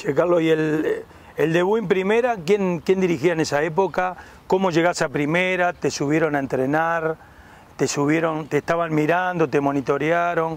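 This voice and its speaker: A man's high-pitched voice with fairly even intonation, dry and without echo. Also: moderate pace, very even loudness. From Uruguay. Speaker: retired footballer turned interview host. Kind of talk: casual sports interview. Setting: outdoors in a park. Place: garden. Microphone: lapel.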